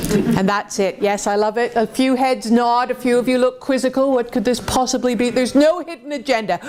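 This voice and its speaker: With an animated tone and a high pitch, a woman talks at a fairly quick pace with hardly any pauses and ordinary pitch variation, over noticeable background noise. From Canada, Toronto. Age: 50s. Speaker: motivational speaker. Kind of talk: motivational talk to audience. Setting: stage with audience.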